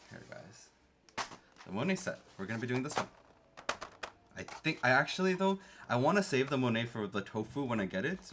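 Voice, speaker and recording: A man with a Canadian accent speaks at medium pitch in an animated tone, fairly quick with long, frequent pauses. His pitch swings very widely, his loudness shifts in big swings, and noticeable background noise runs underneath. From Canada. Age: 30s. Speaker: keyboard streamer. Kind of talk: casual livestream chat.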